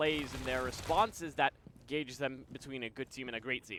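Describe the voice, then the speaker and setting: Very fast speech over noticeable background noise. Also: man. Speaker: esports caster. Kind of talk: live commentary.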